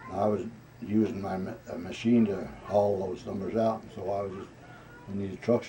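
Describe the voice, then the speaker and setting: Over noticeable background noise, a man talks at a fairly quick pace and fairly low pitch with monotone, flat intonation. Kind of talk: interview answer. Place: home room. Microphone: camera far.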